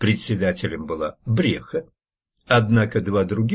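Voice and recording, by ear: Someone reads aloud in a natural voice with fairly even intonation over a quiet background.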